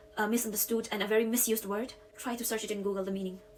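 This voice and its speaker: A woman's fairly high voice at a very fast pace over noticeable background noise. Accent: strong Indian. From India. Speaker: YouTuber. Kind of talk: talking-style commentary video.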